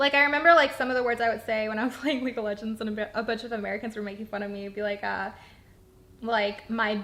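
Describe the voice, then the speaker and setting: A fairly high-pitched woman with a slight Canadian accent, very fast, with fairly even intonation. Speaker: gamer and co-host of a wine chat. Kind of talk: casual chat.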